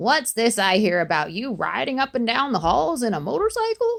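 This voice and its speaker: A woman speaks at a moderate pace in a put-on character voice, raised and projected, with a fairly high pitch. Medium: read story.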